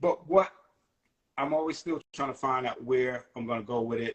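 An ordinary speaking voice from a man with an American accent, medium in pitch, at a moderate pace with ordinary pitch variation. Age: 50s. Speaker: hip hop rapper. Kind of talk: casual interview. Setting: phone call.

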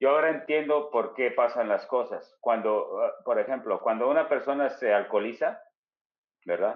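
A man talks at a moderate pace with very even loudness. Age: 50s. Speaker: spiritual healer guest. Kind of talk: personal testimony, casual storytelling. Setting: video call.

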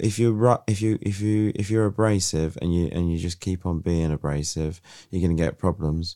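A man with a British accent has a very deep, low pitch and a dark, mellow tone. He speaks at a moderate pace with ordinary pitch variation in a very clean recording with a silent background. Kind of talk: casual chat. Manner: joking, playful.

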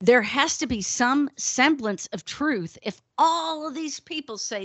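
Speaking with an American accent, a woman sounds animated, with lively intonation at a fairly slow pace. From northern US. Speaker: podcast co-host. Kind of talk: casual chat.

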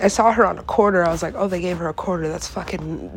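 A woman's fairly low, animated voice at a fairly quick pace, with noticeable background noise. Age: 20s. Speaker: solo podcaster. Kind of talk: casual monologue.

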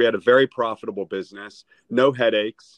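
A man with a normal speaking voice, medium in pitch, with ordinary pitch variation and a moderate pace. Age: 50s. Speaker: real estate agent. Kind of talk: casual interview. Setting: video call.

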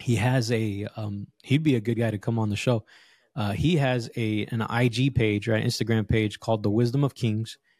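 In a very clean recording with a silent background and a dry, close sound with no echo, a man with an American accent talks at a moderate pace in a medium pitch with fairly even intonation, a plain, everyday voice. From Los Angeles, Southern California. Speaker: fatherhood coach. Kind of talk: casual interview chat.

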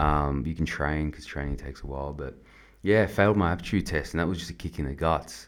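A man with an Australian accent speaks very fast in a very deep, low voice with vocal fry and ordinary pitch variation. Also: big swings in loudness. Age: 20s. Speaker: army veteran. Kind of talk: testimony. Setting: studio. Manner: halting.

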